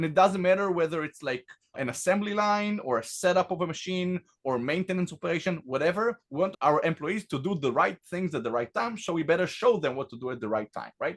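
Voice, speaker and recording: A man with an Israeli accent and a high pitch speaks with lively intonation in a dry, close sound with no echo. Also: fairly quick pace. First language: Hebrew. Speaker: tech company founder and CEO. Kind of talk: product demo presentation.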